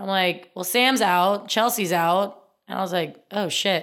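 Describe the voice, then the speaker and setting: A woman with a normal speaking voice talks at a moderate pace and ordinary pitch variation, captured in a very clean recording against a silent background. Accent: American. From US Midwest, small-town Indiana. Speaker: former Olympic gymnast. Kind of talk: casual interview. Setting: in-person recording.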